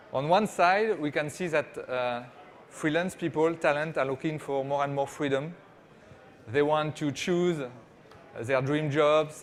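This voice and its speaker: A man's fairly high voice with a French accent, at a fairly slow pace, with fairly even intonation and long, frequent pauses. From France. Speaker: startup CEO. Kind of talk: conference presentation. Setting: stage with small audience. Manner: hesitant, many fillers.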